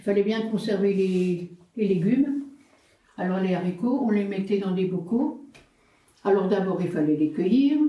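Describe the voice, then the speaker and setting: In a room with audible echo, a woman at a medium pitch speaks at a fairly slow pace with ordinary pitch variation and long, frequent pauses. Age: 70s. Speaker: senior talking with children. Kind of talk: intergenerational conversation.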